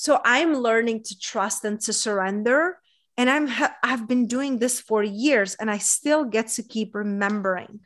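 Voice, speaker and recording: A woman's unremarkable speaking voice, fairly high in pitch, with ordinary pitch variation at a fairly slow pace. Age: 30s. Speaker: women's coach. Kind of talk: casual chat.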